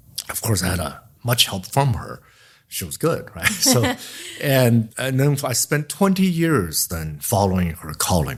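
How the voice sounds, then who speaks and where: A man with a Chinese accent, somewhat breathy and medium in pitch, at a fairly slow pace with very wide pitch swings and big swings in loudness. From China. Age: 60s. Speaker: memoir author. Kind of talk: podcast interview. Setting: in-person interview. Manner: halting.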